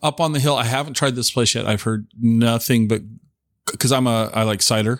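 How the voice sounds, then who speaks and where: In an American accent, a man with an unremarkable speaking voice and medium pitch talks at a fairly quick pace with fairly even intonation. His loudness stays very even, and the recording is very clean with a silent background. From Tacoma area, Washington. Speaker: podcast host. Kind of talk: casual chat. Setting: dining room table at guest's home.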